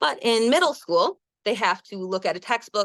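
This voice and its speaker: With a Wisconsin accent, a woman speaks at a moderate pace with lively intonation, in a dry, close sound with no echo against a quiet background. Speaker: elementary school teacher. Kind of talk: webinar presentation. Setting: online webinar.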